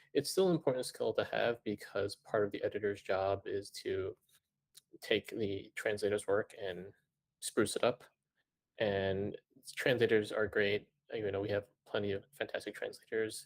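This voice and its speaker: A man speaks with a Cantonese accent at a moderate pace. Long pauses come often. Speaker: manga editor. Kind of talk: panel discussion. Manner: hesitant, many fillers.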